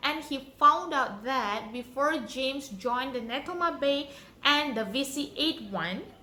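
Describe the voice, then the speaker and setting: High-pitched and bright, sharp in tone, a woman with an Indonesian accent speaks in a raised, projected voice. She goes at a fairly slow pace with ordinary pitch variation. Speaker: YouTuber. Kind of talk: storytelling. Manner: halting.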